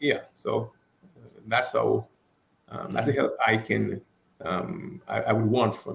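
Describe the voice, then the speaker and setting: A man speaks at a very slow pace with a strong non-native accent. He leaves long, frequent pauses, and his loudness swings widely. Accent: foreign accent, still strong. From abroad, foreign-born. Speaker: talk show guest. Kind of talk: casual chat. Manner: halting, repeats words.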